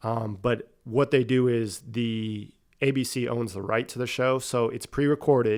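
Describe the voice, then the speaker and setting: A man with an American accent has a plain, everyday voice at a medium pitch. He talks at a fairly slow pace with fairly even intonation on a very clean recording with a silent background. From Pennsylvania (Erie). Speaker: sports coach, podcast guest. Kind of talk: interview.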